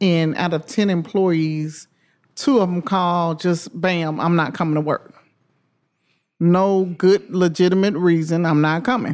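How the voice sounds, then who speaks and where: Speaking in a Memphis accent, a woman talks at a fairly slow pace, her fairly low voice showing ordinary pitch variation. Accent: Southern US (Memphis). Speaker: restaurant owner. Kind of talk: interview.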